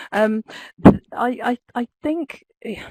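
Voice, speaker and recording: The voice has a dark, mellow tone and lively intonation. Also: woman, dry, close sound with no echo. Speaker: webinar participant, learning professional. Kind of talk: webinar discussion. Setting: online webinar from an open plan office. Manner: loud.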